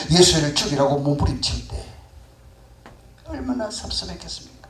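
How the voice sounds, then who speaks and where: Male speech at a moderate pace amid noticeable background noise and audible room echo. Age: 70s. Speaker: pastor. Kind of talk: sermon.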